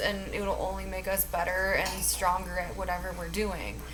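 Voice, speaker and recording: Noticeable background noise and audible room echo are present in the recording. Through them, a woman speaks fairly slowly. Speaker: tarot reader. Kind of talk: tarot reading. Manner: calm.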